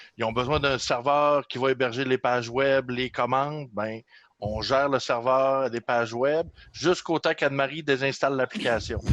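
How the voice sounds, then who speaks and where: Speaking with a Saguenay accent, a man uses a medium pitch and fairly even intonation at a moderate pace, in a dry, close sound with no echo. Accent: Saguenay Quebec French. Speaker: system administrator. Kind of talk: casual chat.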